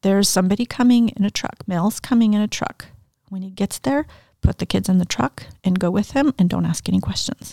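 In a very clean recording with a silent background and a dry, close sound with no echo, a woman talks at a fairly quick pace in a medium pitch, somewhat breathy, with lively intonation. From Mexico and US (raised in a polygamist cult, moving around). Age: 50s. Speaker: author and speaker. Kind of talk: interview, personal life story. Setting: studio.

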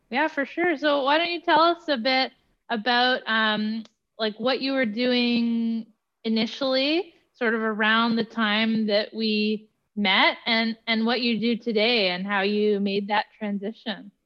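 Speaking at a fairly slow pace, a woman has an unremarkable speaking voice with a fairly high pitch and ordinary pitch variation. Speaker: podcast host. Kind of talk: casual interview.

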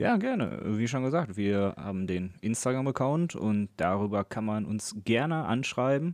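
A man with an ordinary speaking voice and a medium pitch talks at a fairly slow pace with lively intonation and hardly any pauses, over a quiet background. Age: 20s. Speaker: podcast co-host, electrician. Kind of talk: casual chat. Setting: recording over Discord from home.

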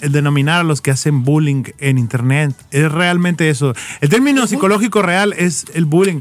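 A man with a plain, everyday voice talks at a moderate pace with a fairly high pitch. His pitch variation is ordinary and his loudness very even. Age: 30s. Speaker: marketing freelancer and advertising consultant. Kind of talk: casual chat. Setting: studio.

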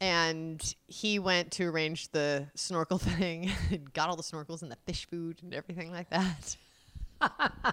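A woman with a bright, sharp tone and fairly low pitch talks at a fairly slow pace with fairly even intonation and big swings in loudness, recorded very cleanly against a silent background. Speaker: podcast co-host, wife. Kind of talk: casual chat.

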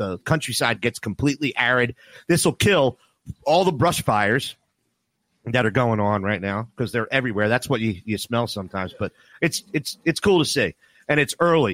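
A voice speaking at a moderate pace with lively intonation. It is an ordinary speaking voice, with a dry, close sound and no echo. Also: man. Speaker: sports radio host. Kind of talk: casual sports talk radio. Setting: remote broadcast from Costa Rica.

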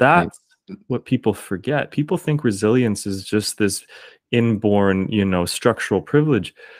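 An unremarkable speaking voice from a man with a Canadian accent, fairly low pitch, lively intonation and a moderate pace, dry and close with no echo on a very clean recording with a silent background. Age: 30s. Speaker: teacher and singer-performer. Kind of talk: casual interview conversation.

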